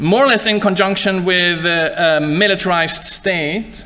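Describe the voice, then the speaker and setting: A man speaks in a raised, projected voice, pitched high and moving at a fairly slow pace. Audible room echo and noticeable background noise surround him. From Sweden. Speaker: university lecturer. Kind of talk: lecture. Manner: halting.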